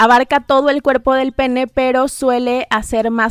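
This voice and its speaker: A woman with a high pitch talks at a fairly slow pace in a monotone, flat way. The sound is dry and close, with no echo. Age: 30s. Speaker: sexologist and psychologist. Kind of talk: casual chat.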